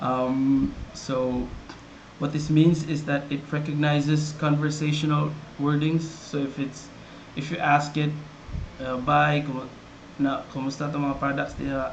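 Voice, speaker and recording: In an audibly echoing room, a man with a Visayan Filipino accent and a fairly high pitch speaks in a flat monotone at a fairly slow pace, with long, frequent pauses. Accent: Filipino (Cebuano) English. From Philippines, Cebuano-speaking region (Visayas/Mindanao). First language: Cebuano. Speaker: software developer presenting his product. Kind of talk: product tutorial. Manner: casual, with many fillers and repetitions.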